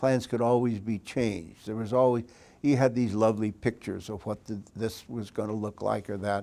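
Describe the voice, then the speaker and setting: In a very clean recording with a silent background, a man speaks at a moderate pace. His voice is fairly low in pitch, with a dark, mellow tone and fairly even intonation. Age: 80s+. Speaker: former mayor and regional planning official. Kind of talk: oral history interview. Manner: halting, many fillers and restarts.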